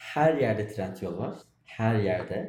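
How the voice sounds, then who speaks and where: A man speaks in a dark, mellow tone that is somewhat breathy. His pace is very slow. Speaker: podcast co-host. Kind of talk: casual chat. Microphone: far from mic, quiet.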